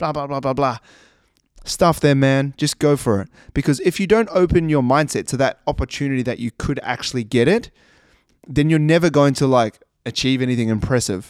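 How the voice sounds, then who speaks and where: A man speaks at a fairly quick pace in a New Zealand accent, his pitch fairly high with ordinary variation. The sound is dry and close with no echo, on a very clean recording with a silent background. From New Zealand, Christchurch. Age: 20s. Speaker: personal trainer. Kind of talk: solo podcast monologue. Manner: casual, conversational.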